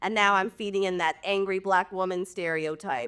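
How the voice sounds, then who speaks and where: A loud woman's voice at medium pitch, bright and sharp, on a very clean recording with a silent background. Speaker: reality TV star and midwife. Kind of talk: podcast interview.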